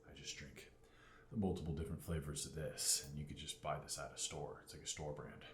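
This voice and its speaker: A man speaks at a fairly quick pace with a very deep, low pitch and monotone, flat intonation. His loudness swings widely, and audible room echo is present. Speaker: fitness vlogger. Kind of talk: casual vlog talk. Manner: talking loud on purpose.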